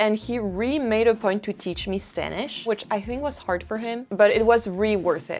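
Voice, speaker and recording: With a French accent, a woman speaks at a medium pitch. Her pace is fairly quick, with ordinary pitch variation. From France. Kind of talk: casual talk to camera.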